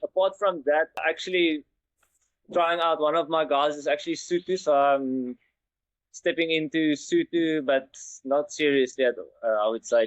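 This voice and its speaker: A man with a South African accent speaks at a fairly slow pace and fairly high pitch, his loudness very even. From South Africa, Western Cape farming community. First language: Afrikaans. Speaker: engineer. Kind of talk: interview. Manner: halting, with many repeated words.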